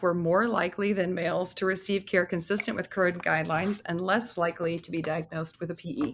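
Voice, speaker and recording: A woman with a plain, everyday voice and an American accent speaks at a fairly quick pace and medium pitch with ordinary pitch variation, on a very clean recording with a silent background. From US Southeast. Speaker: emergency physician and researcher. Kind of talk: interview.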